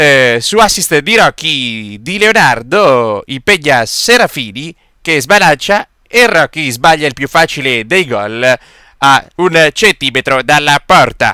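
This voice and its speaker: In an excited, playful tone, a man speaks at a fairly high pitch with very wide pitch swings and a bright, sharp tone, recorded with a dry, close sound and no echo. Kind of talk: sports commentary, recap voice-over of a local five-a-side final. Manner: brisk, play-by-play delivery with lively, excited energy; playful, joking tone with tongue-in-cheek remarks.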